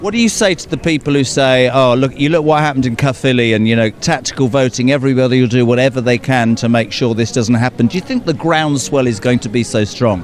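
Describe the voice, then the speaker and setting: A man with an English accent, very fast and with hardly any pauses, at a medium pitch with ordinary pitch variation. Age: 60s. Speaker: political campaigner. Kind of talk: street vox pop interviews. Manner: animated.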